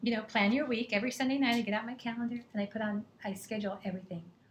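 The speech comes at a very fast pace with fairly even intonation. The voice is somewhat breathy. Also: woman. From England, moved to San Diego at 11. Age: 50s. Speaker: health coach. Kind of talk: casual chat.

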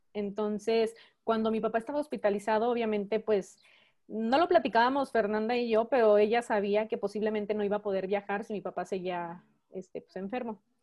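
A woman with a normal speaking voice talks at a fairly quick pace, her pitch fairly high and her intonation fairly even. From Mexico. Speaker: church member. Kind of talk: testimony.

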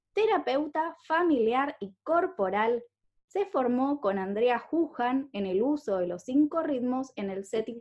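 Speaking very slowly with an Argentine accent, a woman uses a high pitch that moves in very wide swings. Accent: Argentine (Rioplatense) Spanish. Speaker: podcast host and coach. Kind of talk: scripted introduction; interview.

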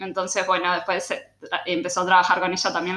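A woman with a Uruguayan accent speaks at a medium pitch in a bright, sharp tone. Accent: Uruguayan Spanish (Rioplatense). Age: 20s. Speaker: communications professional and cook. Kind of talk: interview, casual chat.

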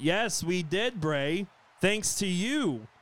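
Over a very clean recording with a silent background, a man puts on a robotic character voice pitched high.

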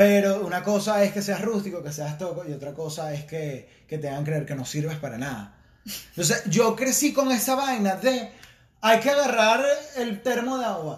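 A man with a high voice talks in an animated tone, his pitch swinging very widely and his loudness rising and falling sharply. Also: moderate pace. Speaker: podcast co-host. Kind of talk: casual chat.

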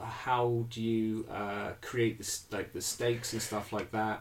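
This man talks very slowly. There is a somewhat breathy quality to his voice. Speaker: podcast host. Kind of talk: casual chat.

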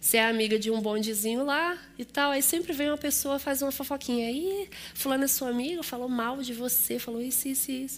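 A woman with a Rio de Janeiro accent speaks fairly quickly in a high voice. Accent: Rio de Janeiro (carioca). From Rio de Janeiro, Brazil. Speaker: guest preacher and teacher. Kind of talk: sermon. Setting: church service.

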